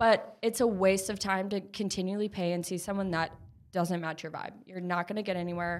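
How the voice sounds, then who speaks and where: A woman speaks with an Upper Midwest accent at a medium pitch and a fairly quick pace. Her intonation is monotone and flat, and the recording is very clean with a silent background. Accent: Upper Midwest American. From Minnesota, Minneapolis suburbs. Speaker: therapist and clothing brand co-founder. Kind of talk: casual chat.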